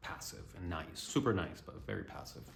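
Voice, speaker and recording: Audible room echo comes through with music in the background. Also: man. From Colombia and Canada. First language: Spanish. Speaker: vlogger and musician. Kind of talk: personal vlog monologue. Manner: casual with many fillers.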